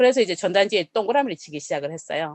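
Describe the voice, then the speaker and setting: In a Gyeongsang accent, a woman speaks at a fairly high pitch with very wide pitch swings and an animated tone, in a dry, close sound with no echo. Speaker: network marketing speaker. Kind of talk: business presentation.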